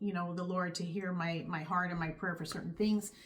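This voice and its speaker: A woman with an American accent speaks at a moderate pace in a somewhat breathy voice with ordinary pitch variation. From California. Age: 50s. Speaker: YouTuber sharing faith testimony. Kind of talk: testimony. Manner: casual, conversational.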